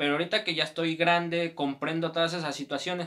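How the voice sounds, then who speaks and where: A man with a Mexican accent speaks in a bright, sharp tone with monotone, flat intonation. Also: quiet background. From Mexico. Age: 20s. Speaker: YouTuber. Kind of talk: personal life story. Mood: reflective, personal. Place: home room.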